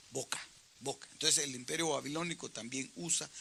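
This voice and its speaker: The speech moves at a moderate pace. Noticeable background noise sits behind it. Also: man. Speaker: pastor teaching Bible study. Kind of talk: Bible study teaching.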